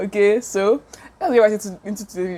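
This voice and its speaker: A woman is speaking. Her tone is animated. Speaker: YouTuber. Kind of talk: casual commentary. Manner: fast.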